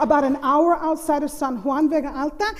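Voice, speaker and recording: A woman with a Spanish accent speaks in a high pitch against noticeable background noise. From US mainland and Puerto Rico. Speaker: storyteller, college faculty member. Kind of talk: storytelling performance.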